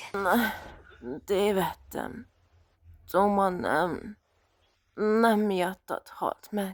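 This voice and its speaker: A woman's raspy put-on character voice, medium in pitch, with long, frequent pauses. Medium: dub. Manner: angry, emotional.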